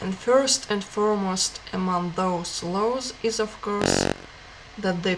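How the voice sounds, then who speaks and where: Through noticeable background noise, a woman of medium pitch speaks at a very slow pace with fairly even intonation. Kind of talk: book reading.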